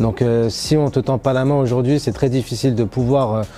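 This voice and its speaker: Music plays in the background as a man talks at a fairly quick pace, his medium pitch carrying fairly even intonation. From Paris region, France. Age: 30s. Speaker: railway traffic agent. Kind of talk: interview testimony. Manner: hesitant, many fillers.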